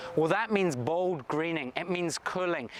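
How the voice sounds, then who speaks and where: A high-pitched man in a Scottish accent, with ordinary pitch variation and noticeable background noise. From Scotland. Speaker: state government minister. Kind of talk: recorded video address.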